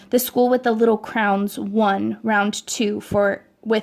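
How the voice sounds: Fairly even intonation in a natural reading voice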